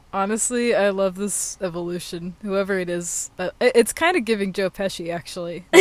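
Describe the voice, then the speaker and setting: A woman talks at a moderate pace with hardly any pauses. Noticeable background noise runs underneath. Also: medium pitch for a woman, ordinary pitch variation. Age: 20s. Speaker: podcast co-host, wilderness guide. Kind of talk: casual chat. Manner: animated.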